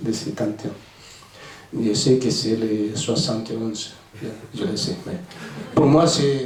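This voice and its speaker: Amid noticeable background noise and audible room echo, a man with a Spanish accent speaks very slowly at a medium pitch with lively intonation. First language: Spanish (speaking French). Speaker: author, former navy sailor. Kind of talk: book presentation Q&A. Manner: halting.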